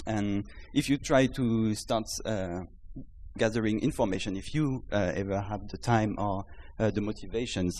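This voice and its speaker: A man speaks with a French accent at a moderate pace. His pitch is fairly low, with ordinary variation. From France. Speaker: startup founder. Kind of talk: startup pitch. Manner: halting.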